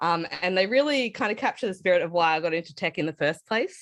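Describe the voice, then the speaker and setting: With an Australian accent, a woman talks at a fairly quick pace with lively intonation over a quiet background. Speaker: tech speaker at hackathon. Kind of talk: online conference talk.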